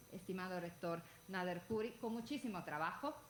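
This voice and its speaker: A woman's intonation is lively, with noticeable background noise in the recording. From Italy. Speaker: legal scholar, book presenter. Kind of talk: panel talk at book presentation. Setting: event with audience and panel table. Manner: halting, with fillers.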